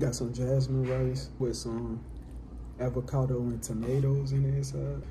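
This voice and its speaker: Someone speaks at a moderate pace amid noticeable background noise. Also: man. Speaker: athlete vlogger. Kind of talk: casual vlog chat. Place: home room. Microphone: earbuds.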